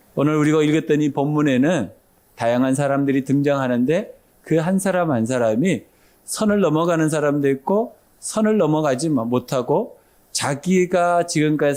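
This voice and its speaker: A man's fairly high, dark and mellow voice at a fairly slow pace with ordinary pitch variation, in a very clean recording with a silent background. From Daegu, Gyeongsang, South Korea. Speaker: pastor. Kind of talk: sermon.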